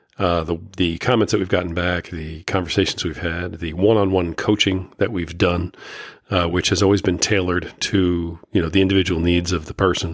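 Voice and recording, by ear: A man speaks in a low voice. His pitch barely moves. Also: moderate pace.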